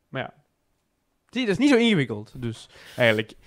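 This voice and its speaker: A man's pitch swings very widely as he speaks at a moderate pace. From Belgium, Antwerp. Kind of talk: casual chat.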